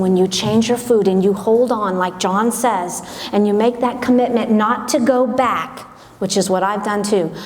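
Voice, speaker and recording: Someone speaks with a Southern US accent amid noticeable background noise and audible room echo. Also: woman. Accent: Southern American. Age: 60s. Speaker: event speaker, gym manager. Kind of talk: motivational talk. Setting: stage with audience. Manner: animated.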